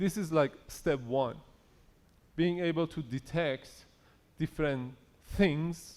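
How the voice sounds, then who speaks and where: A man with a non-native accent speaks at a very slow pace and a fairly high pitch. Long pauses come often. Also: ordinary pitch variation. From Iran. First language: not English. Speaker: conference speaker on AI. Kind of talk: conference talk. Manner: conversational.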